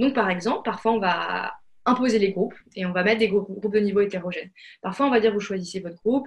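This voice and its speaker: Her pace is very fast and her pitch medium as a woman speaks with fairly even intonation. Her voice is somewhat breathy. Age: 20s. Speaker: founder of a coding school. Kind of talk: interview. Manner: hesitant, many fillers.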